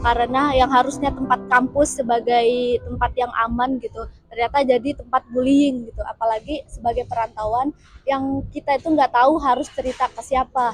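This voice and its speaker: A woman's high, monotone voice with flat intonation and a Padang accent, over noticeable background noise. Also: moderate pace. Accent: Padang (Minang) accent still present. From West Sumatra, Padang. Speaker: university student interviewee. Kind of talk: documentary interview. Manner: hesitant, many fillers.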